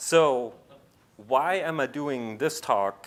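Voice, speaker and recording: A man has a plain, everyday voice at medium pitch. His pitch variation is ordinary. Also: very clean recording, silent background. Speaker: compiler engineer, conference speaker. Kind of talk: conference talk.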